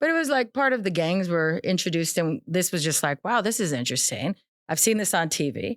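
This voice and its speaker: A woman of medium pitch talks at a very fast pace with lively intonation. Her sound is dry and close, with no echo. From Arizona and California, US. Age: 40s. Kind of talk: testimony.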